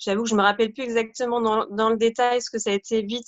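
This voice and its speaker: The woman's voice is fairly high in pitch. Her intonation stays monotone and flat. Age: 30s. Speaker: parent of a diabetic child. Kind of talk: testimony. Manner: halting.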